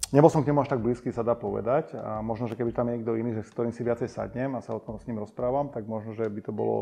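A dark, mellow tone at a very fast pace. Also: man, hardly any pauses. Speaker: interview guest. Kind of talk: interview answer. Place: studio.

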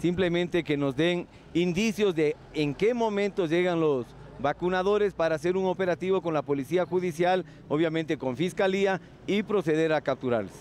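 A man's high voice at a moderate pace, with ordinary pitch variation, dry sound with no echo and light background noise. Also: very even loudness. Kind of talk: interview answer. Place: street. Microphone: handheld.

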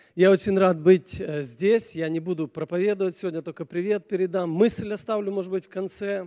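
At a fairly quick pace, the speaker talks in a dark, mellow tone. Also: man, high pitch for a man, fairly even intonation.

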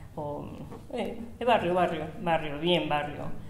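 A woman with a Rioplatense accent talks at a fairly slow pace in a very deep, low pitch. Light background noise and audible room echo are present. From Buenos Aires, Argentina. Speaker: bakery owner. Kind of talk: oral history interview. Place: shop.

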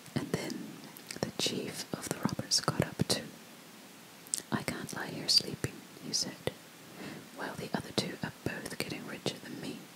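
A soft-spoken woman whispers at a moderate pace, with long, frequent pauses and noticeable background noise. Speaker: storyteller. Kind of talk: storytelling reading aloud. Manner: soft close-mic whispered storytelling. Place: home room. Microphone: studio mic.

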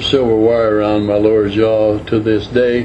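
A man's medium-pitched, monotone, flat delivery at a fairly slow pace, with noticeable background noise. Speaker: retired truck driver recounting his life. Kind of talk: casual reminiscence / personal storytelling to camera. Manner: slow, conversational, with pauses and hesitations.

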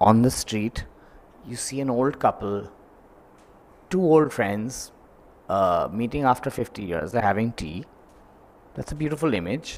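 A man at a fairly slow pace, with long, frequent pauses. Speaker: film director; speaker. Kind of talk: panel discussion. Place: hall. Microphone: handheld.

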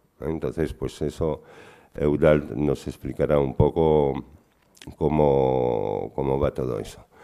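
Over a quiet background, a man speaks very slowly in a very deep, low pitch with ordinary pitch variation. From Belgium. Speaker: panel moderator and cyberactivist; panel moderator. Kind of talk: panel moderation. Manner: halting. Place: meeting room. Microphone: podium.

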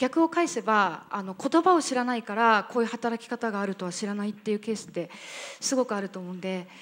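At a very fast pace, a woman talks with lively intonation and a fairly high pitch. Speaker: entrepreneur; panelist. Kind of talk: panel discussion. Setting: stage with audience. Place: hall. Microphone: handheld.

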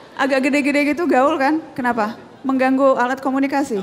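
Noticeable background noise fills the recording. A woman speaks in a high voice over it. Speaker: TV journalist and host. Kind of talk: casual backstage and stage talk.

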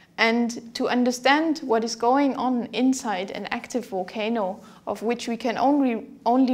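Ordinary pitch movement from a woman speaking at a fairly slow pace. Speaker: university geology lecturer. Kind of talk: lecture. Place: studio. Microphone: lapel.

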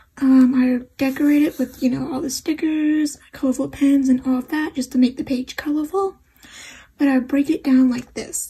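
Soft-spoken and high-pitched, a woman talks at a moderate pace with fairly even intonation. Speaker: journaling creator. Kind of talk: casual talk to camera. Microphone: phone near.

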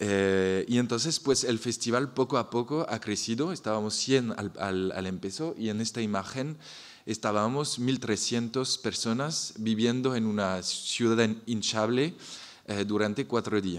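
With a French accent, a man speaks at a fairly slow pace and ordinary pitch variation. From France. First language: French (speaking Spanish). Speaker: architect, festival founder. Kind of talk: panel presentation. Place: hall. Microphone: podium.

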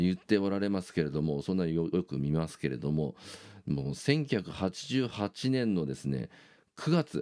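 Over a quiet background, a man with a very deep, low pitch speaks fairly slowly in a dark, mellow tone, using very wide pitch swings. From Japan. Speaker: YouTuber and bassist; YouTuber. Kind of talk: casual monologue. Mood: enthusiastic fan talk. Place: home room. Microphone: phone near.

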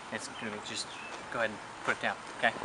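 A man talks very quickly over noticeable noise in the background. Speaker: actor playing an undercover investigator. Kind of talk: mockumentary interview answer. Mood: serious, slightly nervous.

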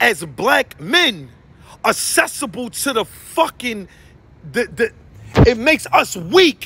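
At a very slow pace, a man speaks in a raised, projected voice with a bright, sharp tone and a dry sound with no echo. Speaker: social commentator. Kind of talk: impassioned vlog rant. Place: street. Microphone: phone near.

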